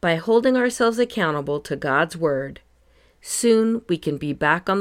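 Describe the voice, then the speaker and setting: At a moderate pace, a woman speaks in a calm, soothing tone with very wide pitch swings. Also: very clean recording, silent background. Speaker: podcast host. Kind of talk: scripted devotional reading with scripture.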